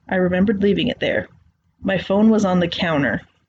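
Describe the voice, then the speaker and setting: Somewhat breathy and with an American accent, this voice moves at a fairly quick pace. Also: woman. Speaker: creepypasta narrator. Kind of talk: horror story narration.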